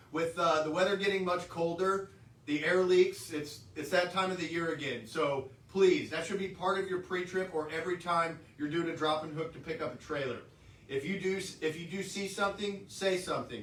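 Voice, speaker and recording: A loud, high-pitched male voice with ordinary pitch variation and audible room echo. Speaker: trucking company safety staff. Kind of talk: workplace safety briefing.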